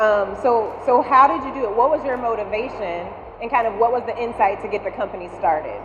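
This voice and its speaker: Speaking with an Alabama accent, a woman uses a fairly high pitch and lively intonation. Noticeable background noise and audible room echo surround her voice. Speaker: venture investor and panel moderator. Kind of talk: moderated panel interview. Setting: stage with audience.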